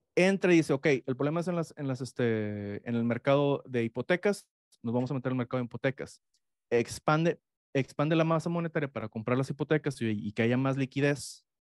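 A man talks at a medium pitch with ordinary pitch variation. The background is quiet and the sound is dry, with no echo. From Mexico. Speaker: economics professor; guest. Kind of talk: interview. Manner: halting. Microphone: studio mic.

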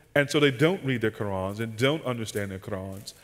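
A man with an American accent talks with ordinary pitch variation against a quiet background. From US Southeast. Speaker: pastor and conference seminar speaker; pastor, conference speaker. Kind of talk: casual seminar talk with Q&A. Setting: conference seminar room with audience microphone. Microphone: headset.

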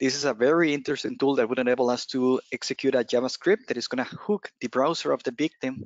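Speech runs at a very fast pace with hardly any pauses and ordinary pitch variation. The background is quiet and the sound is dry with no echo. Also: man, medium pitch for a man. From Costa Rica. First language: Spanish. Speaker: penetration tester, cloud security specialist; presenter. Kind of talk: technical presentation. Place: home room. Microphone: headset.

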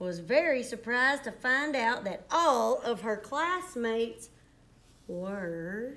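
Very slowly, a woman speaks at a fairly high pitch with very wide pitch swings. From US South. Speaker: primary school teacher. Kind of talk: children's story reading aloud, bedtime-story style. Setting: school STEM lab, video. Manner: animated; warm, playful, soothing at the close. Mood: warm, excited. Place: classroom. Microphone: phone near.

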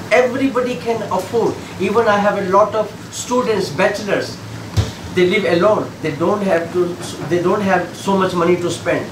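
Over noticeable background noise, a man with an Indian accent talks at a moderate pace, his pitch high with ordinary variation. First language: Indian language. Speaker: chef and restaurant owner. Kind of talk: interview during kitchen tour. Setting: restaurant kitchen. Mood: friendly, proud. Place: kitchen. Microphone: camera far.

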